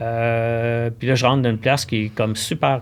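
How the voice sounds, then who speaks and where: In a normal speaking voice, a man talks at a medium pitch and moderate pace with fairly even intonation. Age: 60s. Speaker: cross-country ski expert at a sports shop. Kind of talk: casual podcast interview.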